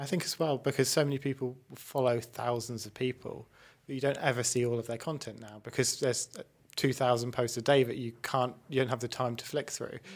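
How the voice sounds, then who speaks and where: A man with a medium pitch talks at a fairly quick pace with fairly even intonation. The recording is very clean, with a silent background. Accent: English. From England. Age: 30s. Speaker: podcast host. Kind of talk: casual chat. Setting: studio.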